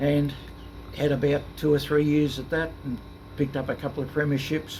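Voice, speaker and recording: This man speaks with an Australian accent at a moderate pace. His pitch is fairly high and his intonation is monotone and flat. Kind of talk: interview answer. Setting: noisy room with air conditioning. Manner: soft-spoken.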